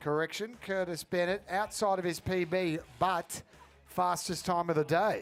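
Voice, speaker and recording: With music in the background, a man with an Australian accent and a high-pitched voice speaks at a moderate pace. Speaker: sports commentator. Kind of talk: live commentary.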